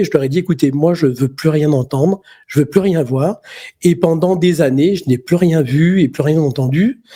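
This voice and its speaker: This man's voice is fairly high, with a dark, mellow tone. His pitch varies in an ordinary way at a fairly slow pace. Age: 60s. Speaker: magnetic healer. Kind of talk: interview storytelling. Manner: halting, many fillers and repetitions.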